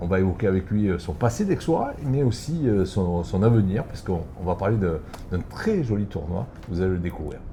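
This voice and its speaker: Noticeable background noise sits under speech that moves at a fairly quick pace with lively intonation. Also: man, fairly low pitch for a man. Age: 60s. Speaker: show host. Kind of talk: casual interview.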